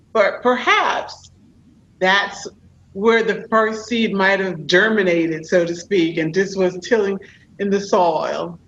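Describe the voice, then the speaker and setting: Speaking very slowly in a New York accent, a woman keeps her medium-pitched voice fairly even in intonation. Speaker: podcast host and executive coach. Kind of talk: interview.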